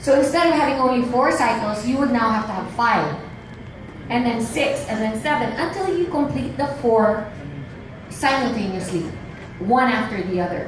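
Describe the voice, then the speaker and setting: Amid noticeable background noise and audible room echo, a woman talks in a high pitch with an animated tone at a moderate pace. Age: 50s. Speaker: businesswoman. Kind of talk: sales pitch; press conference answer. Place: hall.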